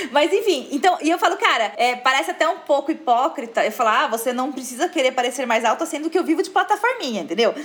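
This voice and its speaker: A woman talks at a very fast pace and a high pitch, in an animated tone with very wide pitch swings and hardly any pauses. Noticeable background noise runs underneath. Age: 30s. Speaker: fashion influencer. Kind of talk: casual chat.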